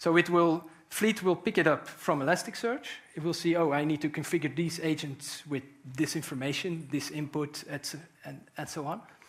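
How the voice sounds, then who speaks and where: Fairly high in pitch, a man speaks at a moderate pace. His intonation stays fairly even. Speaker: conference speaker, software engineer. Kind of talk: technical conference talk. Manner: hesitant, many fillers.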